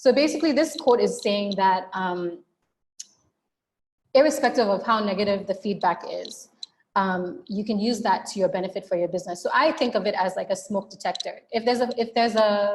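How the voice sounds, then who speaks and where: A woman speaks fairly quickly in a fairly high, somewhat breathy voice. Her intonation is lively. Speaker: webinar presenter. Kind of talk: webinar presentation. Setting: online webinar. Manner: fast.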